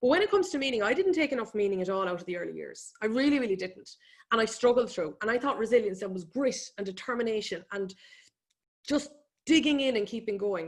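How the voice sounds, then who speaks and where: Speaking at a very fast pace, a woman with an Irish accent uses a fairly high pitch and lively intonation. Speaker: economist and business speaker. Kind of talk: webinar presentation. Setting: online webinar.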